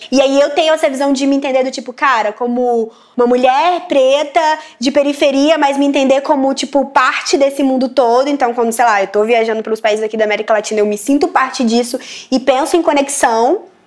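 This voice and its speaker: A woman speaks at a fairly quick pace with a high pitch and ordinary pitch variation. Noticeable background noise runs behind her. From Brasília periphery, Brazil. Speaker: journalist. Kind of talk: interview monologue. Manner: casual, filler-heavy.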